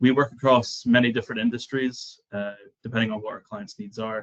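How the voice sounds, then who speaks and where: A man in a Scottish accent, with fairly even intonation. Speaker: software client relationship manager. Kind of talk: webinar presentation.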